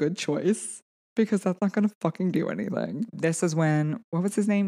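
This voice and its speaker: A woman with a normal speaking voice talks at a moderate pace, fairly low in pitch with ordinary pitch variation. The sound is dry and close with no echo, and her loudness stays very even. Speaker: podcast co-host. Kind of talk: casual chat.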